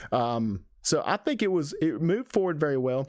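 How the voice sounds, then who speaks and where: A man with an Alabama accent, lively intonation and a moderate pace, on a very clean recording with a silent background. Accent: Southern US (Alabama). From Alabama, US South. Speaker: music reviewer. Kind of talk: music reaction review. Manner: halting, repeats words.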